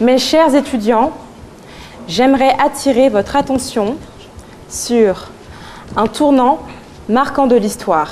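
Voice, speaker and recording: Over noticeable background noise, a woman speaks very slowly with long, frequent pauses, her high voice lively in intonation and very even in loudness. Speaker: student speaker. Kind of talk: eloquence contest speech. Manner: declamatory.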